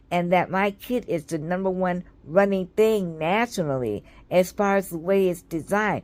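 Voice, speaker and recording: A woman with a medium pitch speaks at a moderate pace, her pitch varying in an ordinary way. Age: 60s. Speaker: vlogger and children's book author. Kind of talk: casual vlog commentary.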